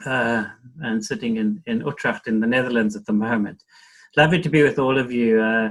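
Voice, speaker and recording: At a fairly quick pace, a man talks with a South African accent. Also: medium pitch for a man, ordinary pitch variation. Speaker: NGO executive. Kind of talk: panel discussion.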